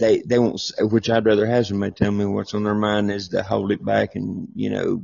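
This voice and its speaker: A man speaks with a Southern US accent. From Tennessee. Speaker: live listener. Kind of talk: casual chat.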